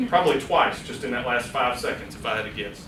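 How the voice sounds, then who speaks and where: A man talks at a very fast pace. Noticeable background noise and audible room echo fill the recording. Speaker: public speaking workshop presenter. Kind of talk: workshop lecture. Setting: room with live audience. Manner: loud; animated.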